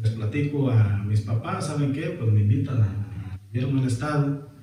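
A man talks at a fairly slow pace with ordinary pitch variation. Noticeable background noise and audible room echo surround his voice. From Jalisco coast, Mexico. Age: 30s. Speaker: local politician. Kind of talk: interview.

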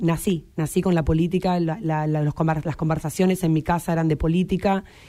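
A woman with a dark, mellow tone and fairly low pitch speaks fairly quickly in a flat monotone, recorded very cleanly against a silent background. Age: 30s. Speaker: local government official. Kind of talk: radio interview. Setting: radio studio.

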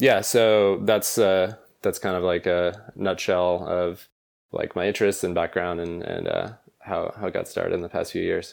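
In a very clean recording with a silent background, a man with an American accent speaks at a moderate pace. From rural Maine, US. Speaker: tech entrepreneur. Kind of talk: interview conversation. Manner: halting, many fillers.

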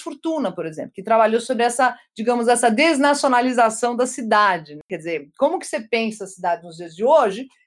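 A woman speaks at a moderate pace in a high pitch. The recording is very clean, with a silent background. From Brazil, German-Brazilian family. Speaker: sociology professor. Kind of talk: academic interview.

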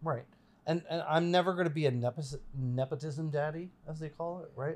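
In a very clean recording with a silent background, a man with a somewhat breathy voice talks at a moderate pace with fairly even intonation. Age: 40s. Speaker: filmmaker and military veteran. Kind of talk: casual chat.

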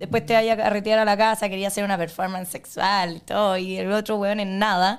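Against a silent background in a very clean recording, a woman talks fairly quickly at medium pitch with monotone, flat intonation. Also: hardly any pauses. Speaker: podcast guest. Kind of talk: casual chat.

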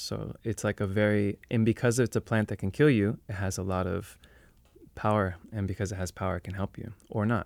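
The recording is very clean, with a silent background. A man with a normal speaking voice and a fairly low pitch talks at a fairly quick pace with fairly even intonation. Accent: American. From New York City. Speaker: plant medicine practitioner. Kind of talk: casual interview.

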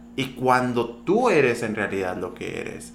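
A man's lively intonation at a medium pitch and fairly slow pace, over noticeable background noise. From Sonora, Mexico (ejido near Empalme). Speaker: TV and radio presenter. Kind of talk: casual interview.

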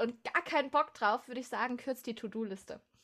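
At a fairly quick pace, a woman with a normal speaking voice talks at a fairly high pitch with ordinary pitch variation. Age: 20s. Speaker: musician and music student. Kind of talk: casual interview. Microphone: technical problems at start.

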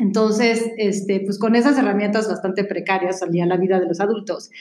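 A woman's medium-pitched voice with a Mexican accent, at a moderate pace. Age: 40s. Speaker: columnist and comedic speaker. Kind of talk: casual chat.

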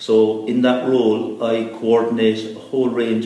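A man with a Cork accent, monotone and flat, amid audible room echo. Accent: Cork Irish. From Ireland, East Cork. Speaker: environmental organisation executive. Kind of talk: interview.

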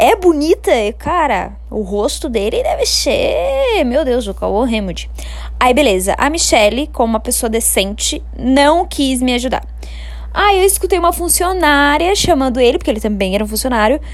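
Noticeable background noise behind a woman speaking in an animated tone at a moderate pace. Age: 20s. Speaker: podcaster. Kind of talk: casual storytelling.

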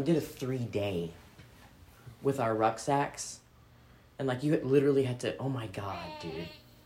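A woman speaks at a moderate pace with a very deep, low pitch. Background noise is noticeable. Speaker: military veteran, podcaster and parent. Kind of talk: casual chat. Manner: casual, profane, laughing often.

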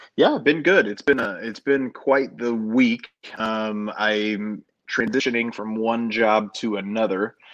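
In an ordinary speaking voice, a man with an American accent talks at a medium pitch and a fairly slow pace, his intonation fairly even. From Denver, Colorado. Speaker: podcast host and former theme park front desk manager. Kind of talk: casual chat.

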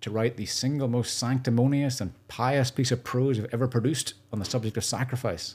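On a very clean recording with a silent background, a man at medium pitch speaks at a fairly quick pace with fairly even intonation. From Northern Ireland. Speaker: charity founder. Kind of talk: podcast interview.

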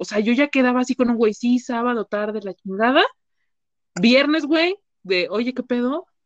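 A woman with an animated tone at a moderate pace, the sound dry and close with no echo. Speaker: psychologist. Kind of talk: casual chat.

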